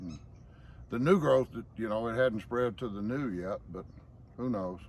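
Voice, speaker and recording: A man's medium-pitched voice with a Southern US accent and ordinary pitch variation. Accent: Southern US drawl. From Georgia. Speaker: estate manager. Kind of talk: casual explanation on garden tour.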